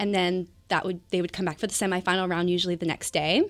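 In a very clean recording with a silent background, a woman with an American accent speaks at a fairly quick pace in a medium pitch. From US Pacific Northwest (Washington state). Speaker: professional dancer / cheerleader. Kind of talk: interview.

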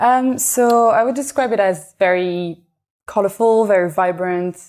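A woman speaks with a French accent in a dark, mellow tone at a fairly slow pace. The recording is very clean, the background silent. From France (Paris). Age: young. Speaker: illustrator and artist. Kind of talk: interview conversation.

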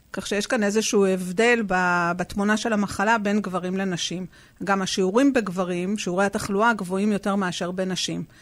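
A woman's voice, an ordinary speaking voice, at medium pitch and moderate pace, with fairly even intonation, on a very clean recording with a silent background. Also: hardly any pauses. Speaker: public health official. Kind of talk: interview.

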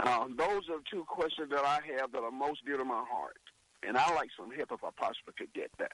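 Dry and close with no echo, a man's voice moves at a fairly quick pace. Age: 60s. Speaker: caller. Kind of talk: phone-in question to radio host. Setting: phone call. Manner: halting, with restarts.

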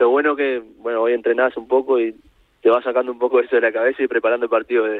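At a fairly quick pace, a man speaks. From Uruguay, Montevideo. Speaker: professional footballer. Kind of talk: radio interview. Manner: halting, many repetitions.

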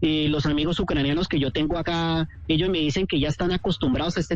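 A man's fairly high voice at a very fast pace, with music in the background. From Colombia, Cali. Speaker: tour guide living abroad. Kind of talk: radio phone interview.

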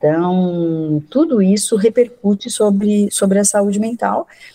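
A woman's voice comes across as somewhat breathy with a dark, mellow tone. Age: 60s. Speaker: psychiatrist and professor. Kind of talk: radio interview. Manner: halting, many fillers.

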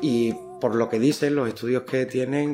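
Music plays in the background. A man speaks over it at a fairly slow pace. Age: 50s. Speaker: smoker trying to quit. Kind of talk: voice note diary. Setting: voice note recording.

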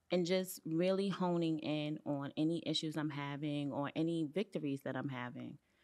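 A woman with an American accent speaks in a very deep, low voice. Her pace is moderate, with hardly any pauses. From Brooklyn, New York. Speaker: hairstylist and salon owner. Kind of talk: interview. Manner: animated.

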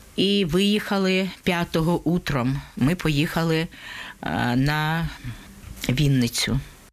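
A woman with a very deep, low pitch speaks very slowly, with ordinary pitch variation, very even loudness and long, frequent pauses. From Ukraine, Donetsk. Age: 70s. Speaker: war refugee. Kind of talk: testimony.

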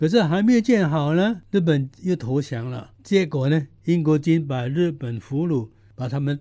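Against a quiet background, a man with a fairly high pitch and a dark, mellow tone talks at a fairly slow pace with hardly any pauses and lively intonation. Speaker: local history commentator. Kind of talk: radio interview.

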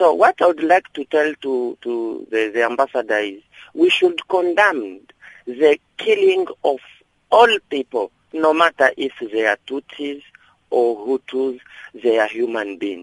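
A man's fairly high voice at a fairly slow pace, with very wide pitch swings and a dry, close sound with no echo. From Great Lakes region of Africa. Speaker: caller. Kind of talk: phone-in comment.

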